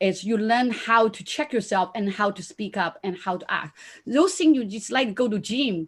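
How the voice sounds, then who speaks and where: Over a silent background in a very clean recording, a woman with a Chinese accent speaks at a moderate pace with a fairly high pitch and ordinary pitch variation. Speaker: conference panelist, business mentor. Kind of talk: panel discussion. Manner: halting.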